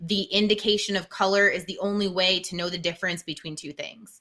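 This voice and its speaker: Loud and fairly quick, a woman speaks at a medium pitch in a monotone, flat delivery with a bright, sharp tone. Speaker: teacher and live-stream co-host. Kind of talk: tutorial. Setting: live stream.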